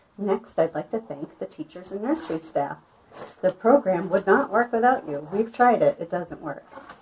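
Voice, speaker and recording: Amid light background noise, a woman speaks at a moderate pace with very wide pitch swings. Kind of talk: church announcement. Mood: cheerful, upbeat. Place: home room. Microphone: phone near.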